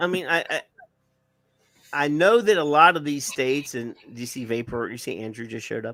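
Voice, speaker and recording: With a Southern US accent, a man speaks at a moderate pace in a fairly high, bright, sharp voice, his intonation lively, his loudness swinging widely, and his pauses long and frequent. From US South. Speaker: live-stream show co-host. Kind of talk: casual chat. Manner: halting.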